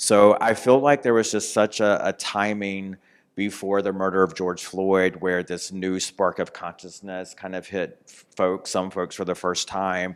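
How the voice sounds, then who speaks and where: The delivery is fairly slow and monotone, with flat intonation, on a very clean recording with a silent background. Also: man, very deep, low pitch for a man. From North Carolina. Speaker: author. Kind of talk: interview.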